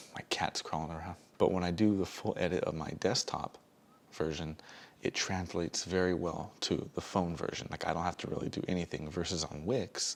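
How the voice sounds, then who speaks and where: At a moderate pace, a man talks with a very deep, low pitch. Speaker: vlogger and small business owner. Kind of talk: casual vlog talk. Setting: dark room at home. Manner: speaking low.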